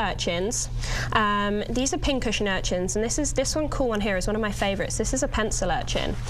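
A woman talks at a very fast pace with ordinary pitch variation. There is light background noise. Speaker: guest. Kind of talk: interview answer. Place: studio. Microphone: lapel.

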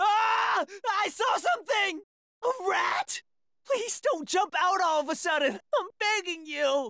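In a cartoonish character voice, a man shouts at an extremely high pitch with a bright, sharp tone, speaking slowly with ordinary pitch variation.

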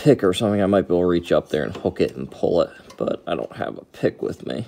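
The pace is fairly quick. The speaker is a man. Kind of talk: tutorial. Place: garage.

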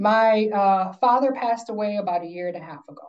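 Against a quiet background, a woman speaks with a dark, mellow tone. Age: 50s. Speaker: workplace consultant and wellness speaker; speaker. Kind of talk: lecture. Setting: video call. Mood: earnest, personal story. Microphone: video call.

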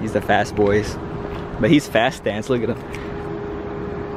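There is noticeable background noise. A man with an American accent speaks at a fairly slow pace with lively intonation. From US West Coast, San Francisco Bay Area. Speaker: car vlogger. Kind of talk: casual vlog narration. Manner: animated.

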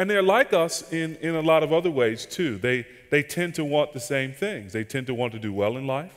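A man with an American accent, fairly high-pitched, at a moderate pace with lively intonation over a quiet background. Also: hardly any pauses. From US Southeast. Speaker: pastor and conference seminar speaker. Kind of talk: casual seminar talk with Q&A. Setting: conference seminar room with audience microphone. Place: hall. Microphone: headset.

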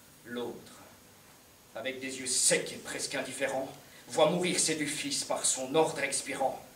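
Light background noise and audible room echo surround a man speaking with fairly even intonation. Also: fairly slow pace. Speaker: stage actor playing an emperor. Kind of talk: declaimed verse drama. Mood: grave, sorrowful resolve. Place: stage. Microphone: camera far.

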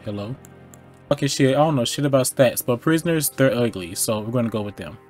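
Faint music sounds in the background. Over it comes a man's voice. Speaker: gaming streamer. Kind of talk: casual gameplay commentary. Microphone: headset.

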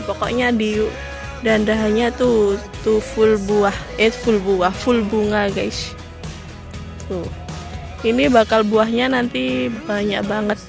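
Very slow speech with long, frequent pauses, a dry sound with no echo and clear music in the background. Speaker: guava farmer vlogger. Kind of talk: casual vlog chat. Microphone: phone near.

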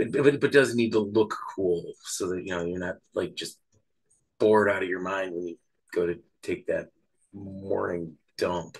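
A man's raspy, fairly low put-on character voice at a moderate pace. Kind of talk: casual, joking. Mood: joking, amused.

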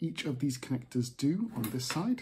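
This man's tone is dark and mellow. There is a somewhat breathy quality to it. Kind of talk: tutorial. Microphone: phone near.

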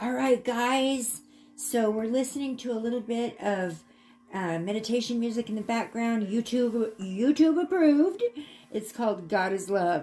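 A woman at a moderate pace, with music in the background. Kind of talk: prayer then casual tutorial talk. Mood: calm, gentle. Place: home room. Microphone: phone near.

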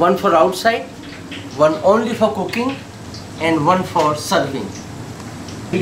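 Noticeable background noise sits behind a man speaking with an Indian accent. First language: Indian language. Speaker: chef and restaurant owner. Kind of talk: interview during kitchen tour. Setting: restaurant kitchen. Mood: friendly, proud. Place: kitchen. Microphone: camera far.

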